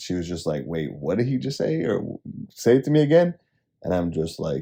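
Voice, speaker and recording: A man talks at a fairly quick pace in a very deep, low pitch with vocal fry. His dark, mellow tone carries very wide pitch swings. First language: Spanish. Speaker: podcast co-host. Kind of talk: casual chat.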